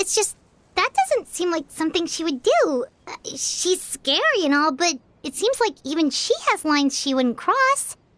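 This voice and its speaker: Pitched extremely high, a put-on character voice proceeds at a moderate pace. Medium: video game. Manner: measured, even-tempered.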